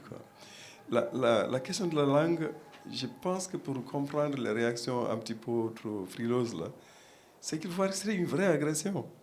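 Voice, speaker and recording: Over noticeable background noise and audible room echo, a man with a Senegalese accent talks at a moderate pace, with very wide pitch swings and long, frequent pauses. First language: Pulaar (speaking French). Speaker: panel guest, academic. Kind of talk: panel discussion. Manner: halting, many repetitions and fillers.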